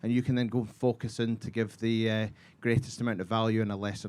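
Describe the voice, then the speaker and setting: Monotone and flat, a man speaks at medium pitch with a slight Scottish accent. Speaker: golf technology company representative. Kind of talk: panel talk.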